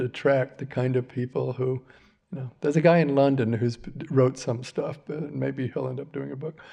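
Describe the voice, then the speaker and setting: With a dark, mellow tone, a man speaks at a moderate pace in a fairly high pitch with ordinary pitch variation. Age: 70s. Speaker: filmmaker. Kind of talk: public Q&A conversation. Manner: halting, many fillers and restarts.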